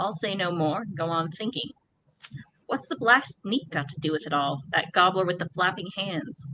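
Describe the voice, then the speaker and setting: A growling, put-on character voice at a middle pitch and a moderate pace. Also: female-sounding voice. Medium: read story. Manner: growling, surly.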